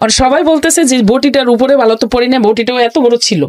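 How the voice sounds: Fairly quick speech from a woman, fairly high in pitch with a slightly mellow tone and ordinary pitch variation.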